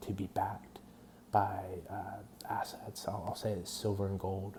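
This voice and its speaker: Quiet and somewhat breathy, a man speaks at a fairly low pitch in a dark, mellow tone with a monotone, flat intonation. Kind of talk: personal testimony monologue. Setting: at home at night. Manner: quiet, hushed; hesitant, many fillers.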